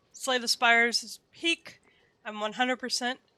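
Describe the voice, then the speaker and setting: In a raised, projected voice, a woman speaks at a high pitch with a bright, sharp tone. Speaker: game streamer. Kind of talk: casual live stream chat. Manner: stumbles over words.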